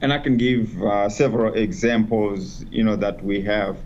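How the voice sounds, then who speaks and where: A man's medium-pitched voice with ordinary pitch variation and audible room echo. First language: not English (English is fourth language). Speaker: education specialist. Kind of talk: panel discussion.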